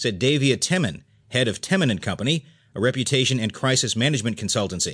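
A man's very fast, lively delivery at a medium pitch against a quiet background. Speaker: audiobook narrator. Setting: studio. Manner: steady, even and neutral, with crisp clear enunciation and little emotion.

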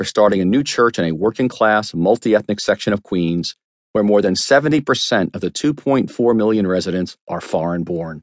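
With an unremarkable speaking voice, a man talks at a fairly quick pace and fairly low pitch with lively intonation, the sound dry and close with no echo over a quiet background. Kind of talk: audiobook narration of a memoir, read aloud. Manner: measured, steady, earnest reading pace; sincere, reflective storytelling tone.

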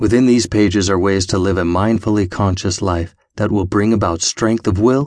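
Against a quiet background, a man with an unremarkable speaking voice talks at a moderate pace, with a fairly low pitch and fairly even intonation. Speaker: audiobook narrator. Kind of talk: scripted audiobook narration, reading a self-help book aloud. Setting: studio. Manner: earnest, gently encouraging, addressing listener directly.

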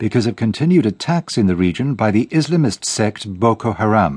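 A man's unremarkable speaking voice, fairly low in pitch, with lively intonation, a fairly quick pace, and a dry, close sound with no echo. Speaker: radio newsreader. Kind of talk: news reading, BBC world news bulletin. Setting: studio. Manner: formal, measured, crisp and even-paced.

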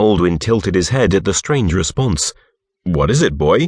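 Dramatic and fairly slow, a man speaks with vocal fry and very wide pitch swings in a dry, close sound with no echo. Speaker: audiobook narrator. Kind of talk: scripted audiobook narration. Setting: recorded audiobook, studio. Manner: dramatic, storytelling delivery with expressive pacing.

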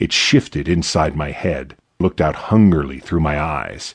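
A man with a very deep, low voice and vocal fry talks at a fairly slow pace. His tone is dramatic. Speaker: audiobook narrator. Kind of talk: scripted fantasy audiobook narration, first person. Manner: tense, hushed, dramatic pacing that builds to action.

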